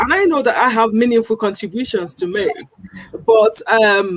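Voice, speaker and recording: In a Nigerian accent, a woman speaks at a moderate pace with a fairly high pitch and lively intonation. The sound is dry and close, with no echo. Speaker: founder of an anti-accent-discrimination initiative. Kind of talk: TV talk show presentation.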